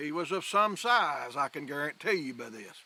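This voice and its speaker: In a rural Southern US accent, a man with a fairly high pitch and bright, sharp tone speaks at a moderate pace with lively intonation, in a dry, close sound with no echo. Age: 60s. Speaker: hunter. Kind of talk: interview testimony. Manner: animated.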